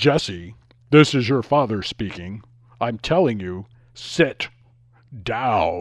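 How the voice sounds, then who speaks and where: Using a put-on character voice at medium pitch, a man speaks at a very slow pace with long, frequent pauses. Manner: authoritative, stern.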